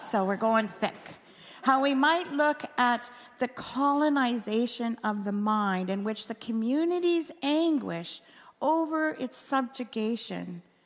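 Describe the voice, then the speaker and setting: Her pitch high and her intonation lively, a woman speaks at a very slow pace. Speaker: minister. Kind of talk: sermon.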